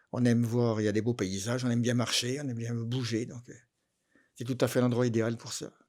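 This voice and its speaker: In a very clean recording with a silent background, a man talks at a fairly quick pace with monotone, flat intonation. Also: medium pitch for a man. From Dijon, Burgundy, France. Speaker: retiree. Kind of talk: interview. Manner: hesitant.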